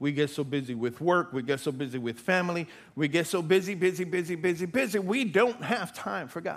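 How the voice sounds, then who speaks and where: In a very clean recording with a silent background, a man talks at a fairly quick pace in an animated tone with ordinary pitch variation. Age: 50s. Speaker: pastor. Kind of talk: sermon. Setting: church with congregation.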